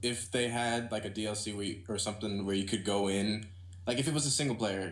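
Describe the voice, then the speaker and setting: A man talks at a fairly quick pace with a fairly low pitch and fairly even intonation. Room echo is audible. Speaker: gaming podcast co-host. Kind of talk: casual chat. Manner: fast; halting.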